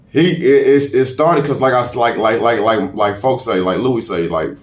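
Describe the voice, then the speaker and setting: Recorded with audible room echo, a man talks at a moderate pace and medium pitch. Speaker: rapper. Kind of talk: casual interview.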